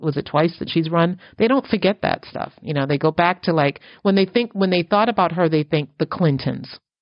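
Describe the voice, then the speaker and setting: A woman with a plain, everyday voice, fairly low in pitch, at a moderate pace with ordinary pitch variation and hardly any pauses. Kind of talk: casual chat.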